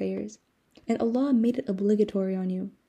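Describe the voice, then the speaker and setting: Against a quiet background, a woman speaks at medium pitch in a dark, mellow, somewhat breathy tone with fairly even intonation. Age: young. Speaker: podcast host. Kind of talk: casual monologue. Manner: frequent laughter.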